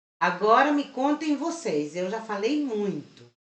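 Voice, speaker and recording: In a room with audible echo, a woman speaks very slowly with lively intonation. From Chile. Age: 50s. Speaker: crochet teacher and channel host. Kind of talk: live stream tutorial chat.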